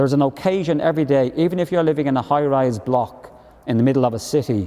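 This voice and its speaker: With a Dublin accent, this man talks very fast. His pitch is medium, with ordinary variation. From Ireland, Dublin. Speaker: professor. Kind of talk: panel discussion.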